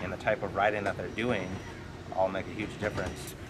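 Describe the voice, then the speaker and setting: A man speaks fairly quickly while noticeable background noise carries on behind him. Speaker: powersports clutch technician. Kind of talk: casual interview. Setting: outdoors at a racing facility. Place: open country.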